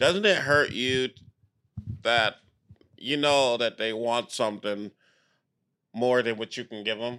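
Speaking with an American accent, a man with a medium pitch and a bright, sharp tone moves at a fairly slow pace, with ordinary pitch variation and long, frequent pauses. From Compton, California. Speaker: stand-up comedian. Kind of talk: casual chat. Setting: hotel room. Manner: low energy.

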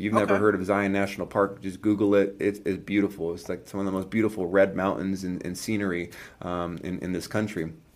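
Very fast and with hardly any pauses, a man talks with an American accent. His fairly low voice stays monotone and flat. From California. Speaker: entrepreneur. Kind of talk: casual chat.

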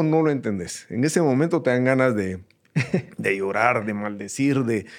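Over a quiet background, a man speaks at medium pitch with very wide pitch swings. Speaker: host's father, entrepreneur. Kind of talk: casual chat. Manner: halting, many repetitions.

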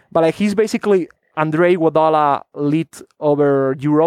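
A man with a Spanish accent and fairly high pitch, in a dry, close sound with no echo against a quiet background. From Spain. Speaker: basketball draft analyst. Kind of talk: casual chat.

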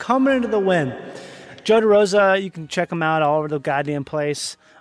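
Man with ordinary pitch variation, noticeable background noise behind him. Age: 30s. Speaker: podcast host. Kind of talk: casual chat.

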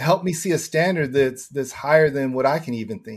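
A man with an American accent has an unremarkable speaking voice. His pitch is fairly high, with ordinary variation. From Southern California. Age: 50s. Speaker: former prisoner turned prison reform advocate. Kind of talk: testimony.

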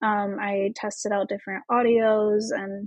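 A woman with a Midwestern US accent talks at a very slow pace in a fairly high pitch. Her voice is somewhat breathy, and the sound is dry and close with no echo. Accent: US Midwest. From Indiana, US Midwest. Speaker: esthetician and marketing coach. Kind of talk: casual interview chat.

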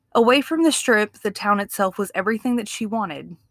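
With a Southern US accent, a woman speaks at a moderate pace and medium pitch in a very clean recording with a silent background. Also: dry, close sound with no echo. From Mississippi. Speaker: true crime podcast co-host. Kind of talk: true crime storytelling.

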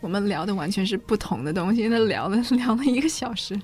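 At a fairly quick pace, a woman with medium pitch and ordinary pitch variation speaks in an unremarkable speaking voice. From China. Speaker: language teacher. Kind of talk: bilingual English lesson.

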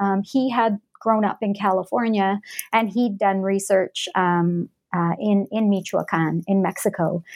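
Speaking at a moderate pace and a medium pitch, a woman with a Canadian accent comes through in a very clean recording with a silent background. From Alberta, Western Canada. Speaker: anthropologist and author. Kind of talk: interview. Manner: halting, many fillers and repeats.

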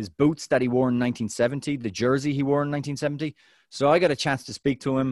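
A man with an American accent talks at a very fast pace in an enthusiastic tone, with a medium-pitched voice. The sound is dry and close with no echo, against a quiet background. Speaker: soccer podcast co-host and interviewer. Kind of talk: casual chat.

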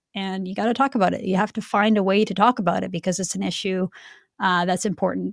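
A woman's very fast, medium-pitched speech with vocal fry, fairly even intonation and a Canadian accent. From Canada, Vancouver. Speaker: political commentary show co-host. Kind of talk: casual political chat.

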